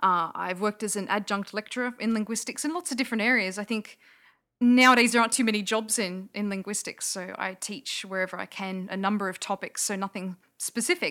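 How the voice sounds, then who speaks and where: In a very clean recording with a silent background, a woman with an Australian accent speaks in a bright, sharp tone. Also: medium pitch for a woman, ordinary pitch variation, fairly quick pace. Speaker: linguist and skeptic.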